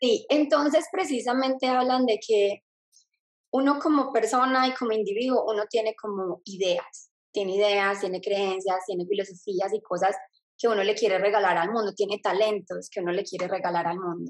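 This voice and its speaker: A woman with an ordinary speaking voice talks at a medium pitch and a moderate pace, her pitch varying in an ordinary way. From Colombia, Medellín. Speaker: speaker and mentor. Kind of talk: interview.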